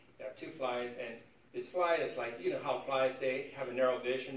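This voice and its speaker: A man with an American accent talks at a very fast pace and medium pitch. Audible room echo surrounds his voice. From West Virginia. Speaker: guest speaker. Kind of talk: informal class presentation. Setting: college classroom. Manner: halting, repeats words; casual, conversational.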